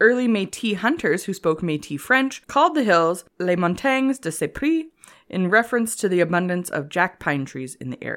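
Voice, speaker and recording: Speaking with a Canadian accent, a woman's pitch swings very widely. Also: medium pitch for a woman, moderate pace, very clean recording, silent background. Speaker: history podcast co-host. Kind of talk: casual chat with scripted history reading.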